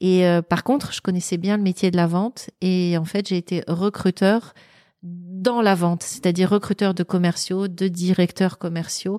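Recorded very cleanly against a silent background, with a dry, close sound and no echo, a woman at medium pitch speaks at a fairly slow pace in a dark, mellow tone and fairly even intonation. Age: 50s. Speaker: author and former recruiter. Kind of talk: interview.

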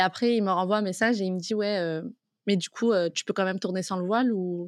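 Speaking with a normal speaking voice, a woman keeps a medium pitch and fairly even intonation. Her pace is fairly quick. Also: dry, close sound with no echo, quiet background. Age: 20s. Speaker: freelance content creator. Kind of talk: casual interview.

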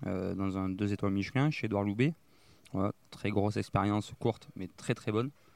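With ordinary pitch variation, a man's fairly low voice moves at a medium tempo. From Gironde, southwest France (Langon). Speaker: chef. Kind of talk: interview. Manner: halting.

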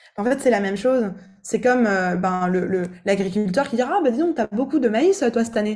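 This woman has an ordinary speaking voice with a fairly high pitch. She talks at a fairly quick pace with lively intonation. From eastern France. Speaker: vocal coach. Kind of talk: casual chat.

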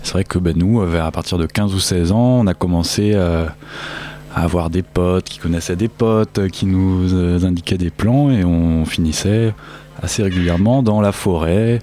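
A man's very deep, low voice at a fairly slow pace, ordinary pitch variation, and noticeable background noise. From rural France, Lot. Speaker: techno fan. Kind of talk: casual chat.

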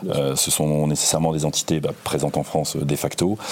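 Here a man's pitch is very deep and low. He delivers his words fairly quickly. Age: 50s. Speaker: finance executive. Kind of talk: interview. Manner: halting, many repetitions.

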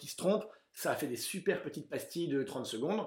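In a very clean recording with a silent background, a man delivers his words at a moderate pace. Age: 30s. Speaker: author and actor, film recommendation video creator. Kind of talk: casual interview chat. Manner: hesitant, many fillers.

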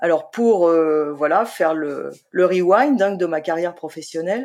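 Very slowly, a woman speaks at a fairly low pitch with ordinary pitch variation, in a very clean recording with a silent background. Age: 50s. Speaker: freelance writer, former civil servant. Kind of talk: interview conversation. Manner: hesitant, many fillers.

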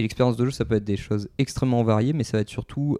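The sound of this man's voice is dry and close, with no echo at all. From France, Bordeaux. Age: 20s. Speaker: game designer. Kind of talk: interview. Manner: hesitant, many fillers.

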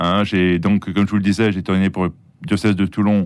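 A man's very deep, low voice. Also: very clean recording, silent background. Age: 60s. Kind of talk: interview testimony. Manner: hesitant, with fillers and repetitions.

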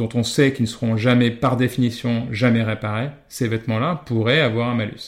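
The recording is very clean with a silent background. A man at medium pitch talks at a moderate pace in a monotone, flat intonation. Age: 30s. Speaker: fashion brand co-founder. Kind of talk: interview. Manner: hesitant, many fillers and repetitions.

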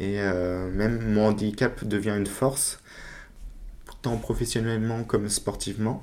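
A man's fairly low voice with monotone, flat intonation at a fairly slow pace. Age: 20s. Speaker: para-cyclist and salesman. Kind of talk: interview. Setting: in his workplace.

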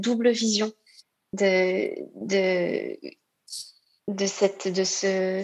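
A woman speaks at a medium pitch. She leaves long, frequent pauses. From Réunion. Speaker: nurse. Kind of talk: testimony. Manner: halting.

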